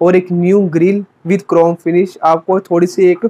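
Pitched high, a man talks in a monotone with flat intonation. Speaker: car reviewer. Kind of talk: commentary.

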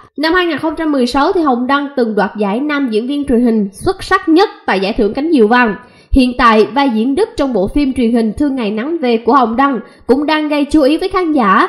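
A woman's high voice at a fairly quick pace, lively in intonation, with hardly any pauses. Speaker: online news channel presenter. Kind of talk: scripted news narration.

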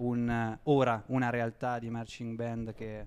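Over light background noise, a man talks at a medium pitch. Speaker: radio host. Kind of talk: casual radio interview. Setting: radio studio, live broadcast. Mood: playful, friendly. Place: hall. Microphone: handheld.

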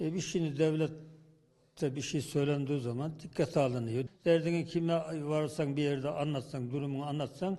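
With a dark, mellow tone, the voice moves at a moderate pace with fairly even intonation and hardly any pauses. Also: man, fairly high pitch for a man. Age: 70s. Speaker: village headman. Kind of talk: interview answer.

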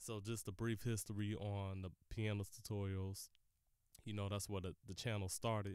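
This man's voice sits fairly low. His intonation is monotone and flat. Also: moderate pace. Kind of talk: casual solo podcast monologue.

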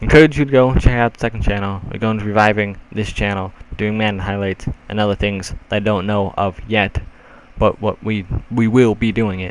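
A man with an unremarkable speaking voice speaks at a fairly low pitch with fairly even intonation. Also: fairly quick pace. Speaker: gaming YouTuber. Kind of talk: casual channel update vlog. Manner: rambling, informal.

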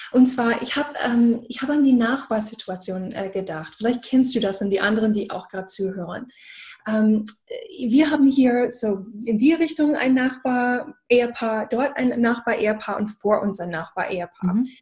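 Against a quiet background, a woman speaks with an English accent at a moderate pace. Her pitch is fairly high and varies in an ordinary way. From USA. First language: English (speaking German). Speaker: business coach. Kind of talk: casual chat. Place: home room. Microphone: video call.

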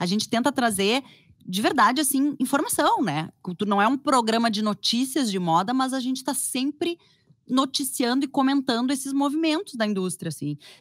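Lively in intonation, a woman talks at a moderate pace with a high pitch. The sound is dry with no echo, and the background is quiet. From Porto Alegre, Brazil. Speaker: journalist and fashion podcaster; journalist, fashion podcaster. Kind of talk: casual chat. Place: home room. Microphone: studio mic.

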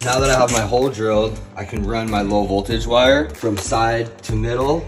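With clear music behind him, a man talks at a moderate pace. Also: ordinary pitch variation. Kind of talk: tutorial. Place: home room. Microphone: phone near.

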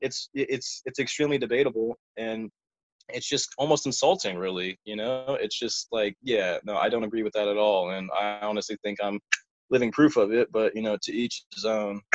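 Dry and close with no echo, this man's medium-pitched voice is a plain, everyday voice with ordinary pitch variation. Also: moderate pace. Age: 20s. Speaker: podcast guest, channel subscriber. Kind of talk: casual chat.

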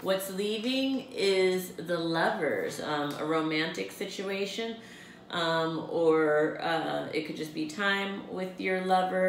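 A woman at a very slow pace, with audible room echo and light background noise. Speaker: tarot card reader. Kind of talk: monthly forecast reading to camera. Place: home room. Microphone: camera far.

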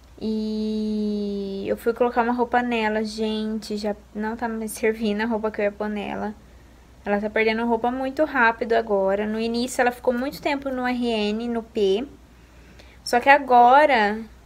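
Speaking at a fairly slow pace, a woman keeps her intonation monotone and flat. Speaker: mother vlogger. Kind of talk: casual vlog chat. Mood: calm, soft-spoken. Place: home room. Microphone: phone near.

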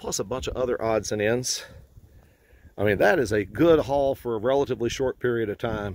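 Talking at a fairly quick pace, a man keeps his intonation fairly even. The sound is dry with no echo, and there is light background noise. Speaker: fossil hunting guide. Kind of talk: casual vlog chat. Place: open country. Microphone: phone near.

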